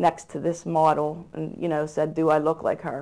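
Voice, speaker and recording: In an American accent, a woman speaks at a moderate pace with a fairly low pitch. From Pittsburgh, Pennsylvania. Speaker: church volunteer youth leader. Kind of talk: interview. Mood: earnest, somber at times. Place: studio. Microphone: lapel.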